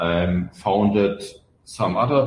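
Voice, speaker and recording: Here a man speaks with a German accent. He talks at a very slow pace. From Germany. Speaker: open source software founder. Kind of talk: podcast interview. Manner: hesitant, many fillers.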